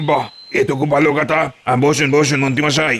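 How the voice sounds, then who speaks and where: In a cartoonish character voice, a man speaks at a very fast pace with fairly high pitch and monotone, flat intonation. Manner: obsequious, eager.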